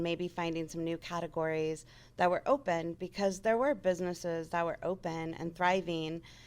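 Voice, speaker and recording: With an American accent, a plain, everyday voice speaks at a moderate pace with fairly even intonation on a very clean recording with a silent background. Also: woman. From Las Vegas, US West. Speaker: radio sales manager. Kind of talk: interview. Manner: casual, conversational.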